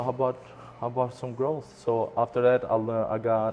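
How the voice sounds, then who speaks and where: Delivered at a fairly quick pace, the speech has a non-native accent and a monotone, flat intonation. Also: man. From immigrant to US at 14, Michigan. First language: not English. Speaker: restaurant owner. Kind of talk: interview. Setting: restaurant.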